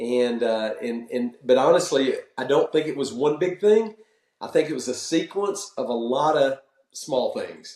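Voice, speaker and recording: A man talks at a fairly slow pace. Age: 60s. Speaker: senior pastor and business owner. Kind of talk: interview podcast. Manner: halting, repeats words.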